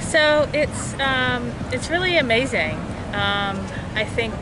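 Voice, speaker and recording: A woman is heard over loud background noise, the sound dry with no echo. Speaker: interviewee. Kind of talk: interview answer. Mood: reflective, emotional. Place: street. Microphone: phone near.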